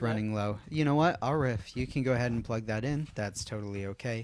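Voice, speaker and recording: A man talks in a normal speaking voice at a fairly quick pace. His pitch is medium, with ordinary variation. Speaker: podcast host. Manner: casual, improvising.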